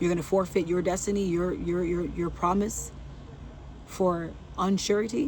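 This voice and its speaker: A soft-spoken voice carries through audible room echo. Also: woman. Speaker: faith vlogger. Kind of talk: inspirational talk.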